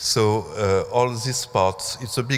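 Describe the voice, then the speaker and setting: A man speaks with a French accent. His intonation is fairly even. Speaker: museum curator. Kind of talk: conference talk. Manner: halting.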